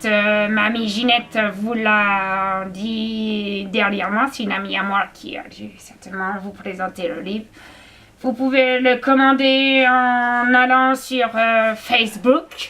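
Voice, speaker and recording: A woman puts on a character voice at a fairly high pitch. She speaks at a fairly slow pace. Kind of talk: comic old-man impersonation. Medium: solo performance. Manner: rambling, hesitant, full of fillers, repeats himself.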